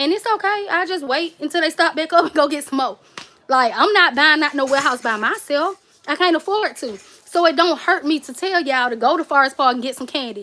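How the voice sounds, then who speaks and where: Projecting her voice over noticeable background noise, a woman with a Southern US accent talks at a fairly quick pace, high-pitched and with lively intonation. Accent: country Southern. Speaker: cake and gift basket YouTuber. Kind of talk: casual livestream chat. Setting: livestream. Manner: skips over words.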